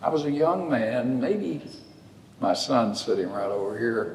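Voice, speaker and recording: A medium-pitched man's lively intonation, with audible room echo and noticeable background noise. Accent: Texan. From West Texas. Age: 80s+. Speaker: lawyer. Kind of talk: storytelling in a public conversation. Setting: church sanctuary with audience.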